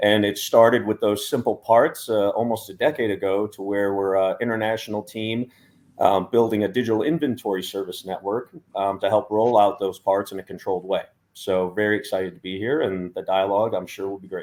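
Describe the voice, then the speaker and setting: A man with an American accent talks at a fairly quick pace with fairly even intonation. His pitch is fairly low, and his loudness swings widely. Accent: American, stands out among Europeans. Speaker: startup CEO. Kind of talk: panel discussion.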